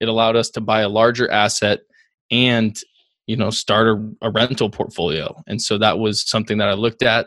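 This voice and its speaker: An ordinary speaking voice comes from a man at a medium pitch, moving at a fairly quick pace. His intonation is fairly even, and the sound is dry and close with no echo. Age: 20s. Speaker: real estate investor and broker. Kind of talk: interview conversation.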